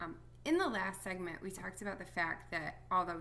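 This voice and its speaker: Audible room echo hangs on the words of a woman as she talks. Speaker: music teacher. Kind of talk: recorded lesson for students. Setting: at home. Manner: quiet, soft-spoken; many filler words.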